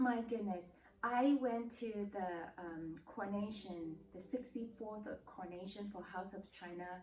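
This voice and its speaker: A woman with a normal speaking voice talks at a fairly slow pace with hardly any pauses, a medium pitch and ordinary pitch variation. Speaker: interviewer. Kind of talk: casual interview questions.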